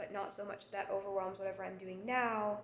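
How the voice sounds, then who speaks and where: A woman talks at a medium pitch, and audible echo fills the room. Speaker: vlogger. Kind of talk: casual monologue vlog. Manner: halting.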